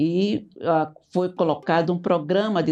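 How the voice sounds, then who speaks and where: A woman speaks with music in the background. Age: 80s+. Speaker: retired teacher. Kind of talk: casual group conversation.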